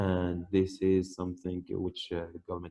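A man with a Persian accent speaks in a very deep, low voice with a dark, mellow tone and flat, monotone intonation. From Iran. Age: 30s. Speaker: Bitcoin miner. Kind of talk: interview.

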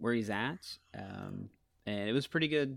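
On a very clean recording with a silent background, a man with an unremarkable speaking voice talks at medium pitch with lively intonation. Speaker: podcast co-host. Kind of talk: casual banter.

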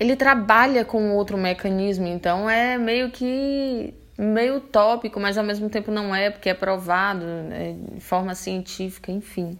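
A woman talks fairly slowly in an ordinary speaking voice, pitched in the medium range with ordinary variation. She hardly pauses at all. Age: 30s. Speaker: motivational video creator. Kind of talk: motivational monologue. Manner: informal, direct address to viewers.

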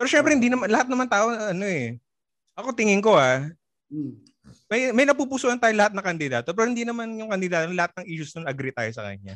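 His pitch is high and swings very widely. The man speaks at a very fast pace. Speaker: podcast co-host and DJ. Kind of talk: casual chat.

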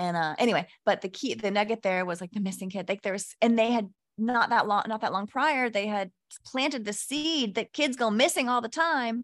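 A woman with an unremarkable speaking voice talks at a fairly quick pace, her fairly high pitch carrying lively intonation. The recording is very clean, with a silent background. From Texas. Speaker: podcast guest, spiritual content creator. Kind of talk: casual chat.

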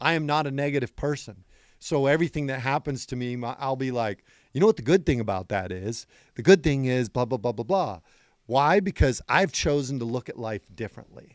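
Energetic and at a fairly quick pace, a man speaks with a medium pitch and lively intonation in a very clean recording with a silent background and a dry, close sound with no echo. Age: 50s. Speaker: county sheriff. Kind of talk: podcast interview. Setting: in person, Scottsdale, Arizona.

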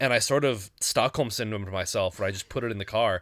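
On a very clean recording with a silent background, a man with an unremarkable speaking voice and ordinary pitch variation talks at a fairly quick pace. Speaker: podcast host. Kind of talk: casual chat. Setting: studio. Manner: laughs often, filler-heavy.

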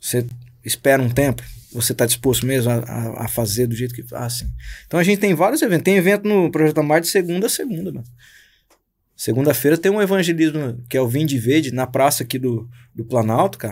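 On a very clean recording with a silent background, a man talks at a very fast pace with medium pitch and lively intonation. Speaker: pastor and musician. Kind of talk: casual chat. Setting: studio. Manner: slangy, informal.

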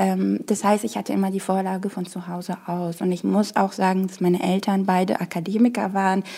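With a dark, mellow tone, a woman speaks at a medium pitch and a moderate pace in a flat, monotone delivery. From Morocco. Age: 20s. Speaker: political scientist and party staffer. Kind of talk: interview. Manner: hesitant, many fillers.

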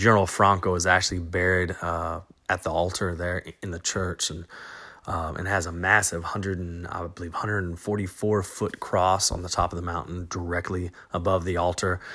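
In a Southern US accent, a man speaks at a moderate pace with a very deep, low pitch. His intonation is monotone and flat, and the recording is very clean with a silent background. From US South, small-town Arkansas. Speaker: podcast host, teacher and football coach. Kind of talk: solo travel podcast monologue. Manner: casual, many fillers and restarts.

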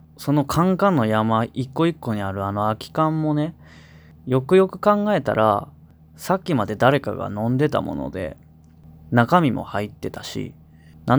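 On a very clean recording with a silent background, a man speaks in a fairly high pitch. His intonation is lively and his pace moderate. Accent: Kansai. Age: 20s. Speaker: singer-songwriter, radio host. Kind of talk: radio talk show.

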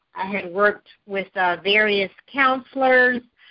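A woman speaks in an ordinary speaking voice at a medium pitch. Her pitch varies in an ordinary way. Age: 40s. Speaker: journalist and author. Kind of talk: interview.

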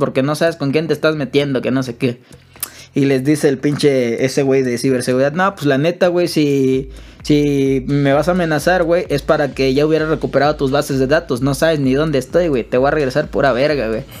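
Speaking at a fairly quick pace, a man has a Mexican accent. His pitch is fairly high. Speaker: podcast co-host. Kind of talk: casual chat.

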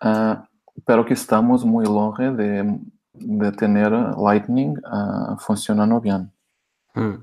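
With a Portuguese accent, the speaker talks at a very slow pace in a dark, mellow tone with monotone, flat intonation. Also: man, fairly low pitch for a man. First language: Portuguese (speaking Spanish). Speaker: crypto wallet co-founder. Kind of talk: interview. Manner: halting.

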